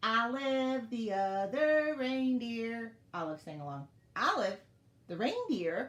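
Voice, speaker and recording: A woman uses a put-on character voice at a fairly high pitch and a fairly slow pace. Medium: read story. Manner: shy, earnest.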